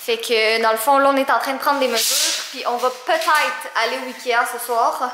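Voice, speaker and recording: A woman uses a raised, projected voice at a high pitch and moderate pace, with fairly even intonation and hardly any pauses, amid audible room echo and light background noise. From Quebec. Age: 20s. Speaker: vlogger. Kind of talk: casual vlog talk. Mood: affectionate, playful. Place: home room. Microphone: phone near.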